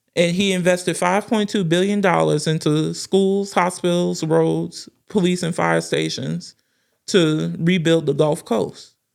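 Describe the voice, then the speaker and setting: A woman with a New Orleans accent speaks at a fairly slow pace on a very clean recording with a silent background. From New Orleans, Louisiana. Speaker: political news commentator. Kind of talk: political commentary monologue.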